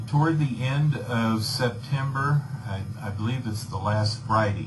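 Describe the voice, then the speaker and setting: A man's medium-pitched voice at a fairly slow pace, fairly even in intonation, with audible room echo and noticeable background noise. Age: 60s. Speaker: saxophonist. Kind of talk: radio interview. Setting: radio studio.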